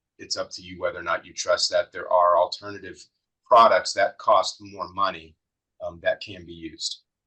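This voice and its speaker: A man speaks at a moderate pace. His loudness swings a lot. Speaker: webinar presenter on AI and strategy. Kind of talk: webinar Q&A answer. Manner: monotone; halting, many fillers.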